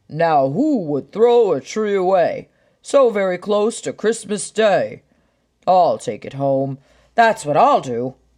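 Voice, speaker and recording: Against a quiet background, a man uses a put-on character voice. It is high-pitched and fairly slow. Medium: read story. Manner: jolly.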